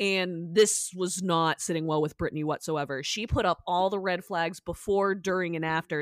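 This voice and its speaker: Recorded with a dry, close sound and no echo, a woman with an American accent uses a normal speaking voice with ordinary pitch variation. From Massachusetts. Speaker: podcast host. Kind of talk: casual chat.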